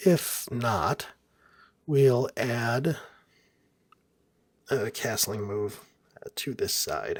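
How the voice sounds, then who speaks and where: A soft-spoken, somewhat breathy voice with lively intonation. Long pauses come often. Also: man. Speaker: software developer narrating coding screencast. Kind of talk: tutorial. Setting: hotel room at night. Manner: soft-spoken, keeping voice down; pausing while thinking.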